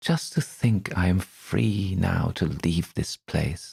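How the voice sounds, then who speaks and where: A man uses a put-on character voice with a very deep, low pitch. He speaks in a sing-song at a very slow pace. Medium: read story. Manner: eerily cheerful.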